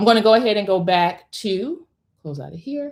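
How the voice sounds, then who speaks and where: A woman with a plain, everyday voice at a moderate pace, on a very clean recording with a silent background. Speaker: online business teacher. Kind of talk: live class tutorial.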